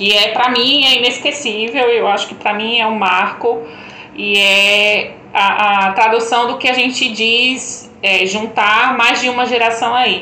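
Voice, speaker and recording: The voice moves at a fairly slow pace with very even loudness and fairly even intonation, over noticeable background noise and audible room echo. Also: woman. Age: 30s. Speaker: tourism specialist. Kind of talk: casual chat.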